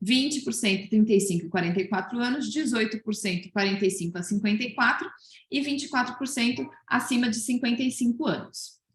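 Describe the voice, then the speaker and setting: This woman talks at a fairly quick pace. Her pitch variation is ordinary. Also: fairly high pitch for a woman. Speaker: research presenter at coaching event. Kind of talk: presentation of survey results. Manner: fast; hesitant, many fillers.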